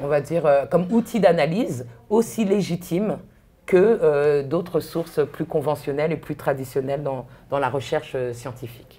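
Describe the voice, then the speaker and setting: A woman's very deep, low voice with a dark, mellow tone and lively intonation. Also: moderate pace. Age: 40s. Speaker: author and researcher. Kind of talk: talk interview. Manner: halting.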